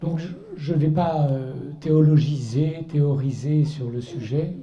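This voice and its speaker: With audible room echo, a man speaks at a fairly high pitch in a dark, mellow tone that is somewhat breathy. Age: 60s. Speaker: author and artist giving a Lenten talk. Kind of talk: testimony talk to a church audience.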